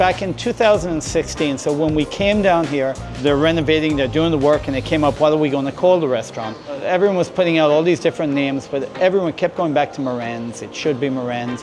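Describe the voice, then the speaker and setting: With music in the background, a man with an Irish accent talks at a fairly quick pace in a fairly high voice with ordinary pitch variation. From Ireland. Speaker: restaurant owner. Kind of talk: interview answer.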